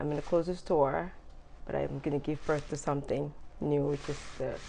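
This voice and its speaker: Very deep and low, a woman's voice carries a dark, mellow tone with vocal fry, monotone, flat intonation and a moderate pace. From Gambia. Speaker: entrepreneur, business founder. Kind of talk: interview.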